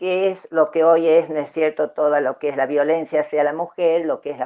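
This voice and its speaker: In an Argentine accent, a woman speaks with a very deep, low pitch. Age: 70s. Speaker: human rights activist. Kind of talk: interview. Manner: halting, many fillers.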